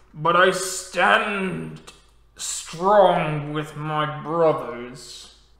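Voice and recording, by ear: In a put-on character voice, a man speaks very slowly, guttural and fairly high in pitch. A slight echo trails his words.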